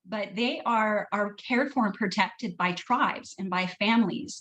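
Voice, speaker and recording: A woman speaks at a moderate pace in a fairly high, somewhat breathy voice with ordinary pitch variation over a quiet background. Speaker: wellness therapist and essential oils seller. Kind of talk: online training presentation. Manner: hesitant, many fillers and repeats.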